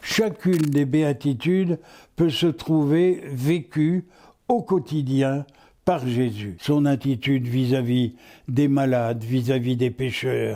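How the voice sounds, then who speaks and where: In a very clean recording with a silent background, a man with a fairly high pitch and a dark, mellow tone speaks at a very slow pace, with ordinary pitch variation and very even loudness. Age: 80s+. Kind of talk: interview answer.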